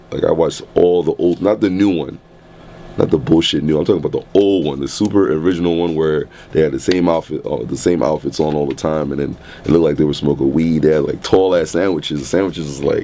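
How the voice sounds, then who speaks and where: A man with a very deep, low voice talks at a very fast pace in an animated tone. Noticeable background noise runs underneath. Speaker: DJ and radio host. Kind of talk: interview answer. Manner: casual, animated, profane.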